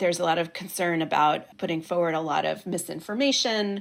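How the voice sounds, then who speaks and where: A woman with an unremarkable speaking voice, fairly low pitch, ordinary pitch variation, moderate pace and an American accent, on a very clean recording with a silent background. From United States. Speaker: political journalist and podcast host. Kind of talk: interview.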